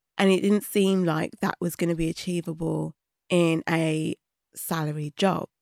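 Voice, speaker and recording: A woman with a British accent, monotone and flat in intonation, at a moderate pace, in a very clean, dry, close recording with no echo and a silent background. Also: fairly low pitch for a woman. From England, Birmingham and London. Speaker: podcast producer. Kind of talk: interview. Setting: studio.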